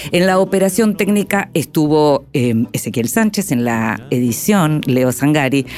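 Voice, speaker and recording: Over noticeable background noise, a woman with a very deep, low pitch talks fairly slowly and with hardly any pauses, her pitch swinging very widely while her loudness stays very even. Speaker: radio host. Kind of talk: radio interview; scripted narration.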